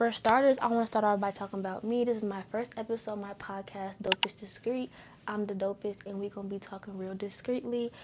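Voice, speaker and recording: With noticeable background noise, a woman of medium pitch talks at a fairly quick pace, her intonation fairly even and her loudness swinging widely. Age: 20s. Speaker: podcast host. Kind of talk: casual solo venting monologue. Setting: sitting on her bed at home.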